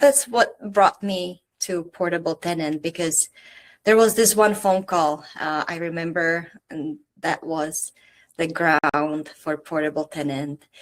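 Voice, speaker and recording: A woman in a Czech accent, speaking at a very slow pace. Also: fairly low pitch for a woman, ordinary pitch variation. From Czech Republic. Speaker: startup founder. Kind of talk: interview.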